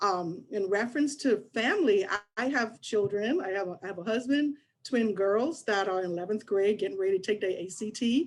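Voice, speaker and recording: A woman with a slight Bahamian accent talks at a fairly quick pace, with hardly any pauses and ordinary pitch variation. The recording is very clean, with a silent background. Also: medium pitch for a woman. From Bahamas (Nassau). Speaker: HR business partner at a children's agency. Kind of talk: career expo presentation.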